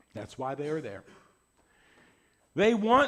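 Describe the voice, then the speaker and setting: A loud man with a high-pitched voice. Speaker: pastor. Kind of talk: sermon.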